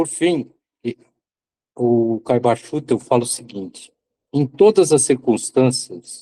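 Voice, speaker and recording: A man speaks very slowly at a medium pitch, with lively intonation and long, frequent pauses. His tone is dark and mellow, and the sound is dry and close with no echo. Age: 70s. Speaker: spiritist lecturer. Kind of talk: religious lecture.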